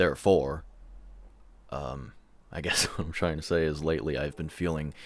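With vocal fry and a very deep, low pitch, a man talks at a moderate pace with fairly even intonation and long, frequent pauses. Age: 20s. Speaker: solo podcaster, songwriter and graphic artist. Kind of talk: personal monologue, venting. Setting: alone in his room. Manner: halting, many fillers and repetitions.

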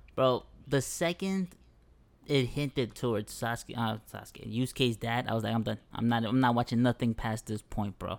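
A man's medium-pitched voice with a New York accent. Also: ordinary pitch variation, moderate pace. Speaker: podcast co-host. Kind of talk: casual chat.

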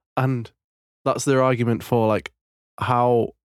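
A man with a British accent speaks at a medium pitch, recorded very cleanly against a silent background. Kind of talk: casual chat.

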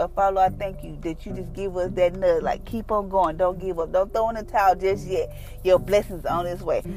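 Over music in the background, a woman talks at a fairly quick pace in a monotone, flat intonation. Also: medium pitch for a woman. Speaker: devotional podcaster. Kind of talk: fervent prayer; devotional reading and prayer. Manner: earnest, heartfelt.

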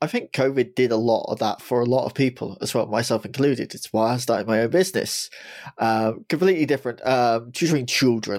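Speaking at a fairly quick pace, a man has a British accent. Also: medium pitch for a man, ordinary pitch variation. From England. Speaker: podcast host. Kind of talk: interview conversation.

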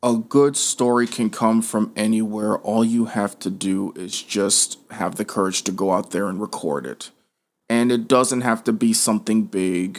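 In an unremarkable speaking voice, a man with an American accent talks at a medium pitch and a fairly slow pace with fairly even intonation. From Las Vegas, Nevada. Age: 20s. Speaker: filmmaker. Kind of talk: interview.

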